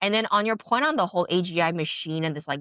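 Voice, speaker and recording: Very fast speech from a woman with fairly low pitch and ordinary pitch variation, in a dry, close sound with no echo. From grew up in the West. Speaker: podcast host. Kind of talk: casual interview conversation.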